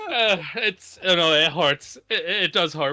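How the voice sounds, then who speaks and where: A man speaks with a high-pitched voice. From Scotland. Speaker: esports caster. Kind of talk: live commentary. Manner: animated.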